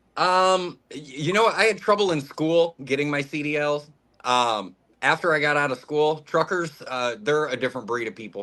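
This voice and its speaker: A man's loud, bright, sharp voice, fairly high-pitched, with lively intonation at a moderate pace. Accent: American. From Ohio, Toledo. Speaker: truck driver. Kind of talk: casual chat.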